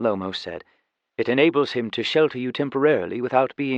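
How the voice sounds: Ordinary pitch variation from a natural reading voice, set against a quiet background.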